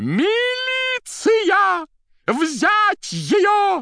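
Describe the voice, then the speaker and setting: A shouted, squeaky put-on character voice at an extremely high pitch. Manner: terrifying, commanding shout.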